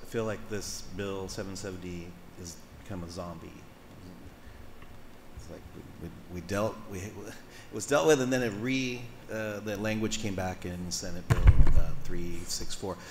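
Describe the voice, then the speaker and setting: A man's fairly low voice at a moderate pace, with ordinary pitch variation, big swings in loudness, long, frequent pauses and audible room echo. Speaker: coastal commission member. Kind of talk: public hearing remarks. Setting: public hearing room. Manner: halting, many restarts.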